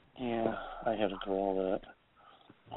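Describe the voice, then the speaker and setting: A man talks in a fairly low pitch with an American accent. His intonation is flat and monotone. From Chicago. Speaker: caller. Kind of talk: phone call chat.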